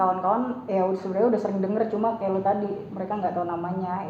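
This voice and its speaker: A woman speaks at a medium pitch with fairly even intonation over noticeable background noise. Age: young. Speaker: voice-over talent. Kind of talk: interview answer. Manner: casual, chatty.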